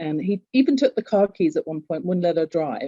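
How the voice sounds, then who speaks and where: A woman with an English accent speaks in a dark, mellow tone, and the sound is dry and close with no echo. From England. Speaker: author and executive coach. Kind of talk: interview.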